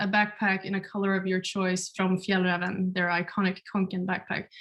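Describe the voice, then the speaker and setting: The background is quiet. A woman speaks in a Swedish accent. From Sweden. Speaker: webinar moderator, community builder. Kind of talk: webinar introduction. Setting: video call from home.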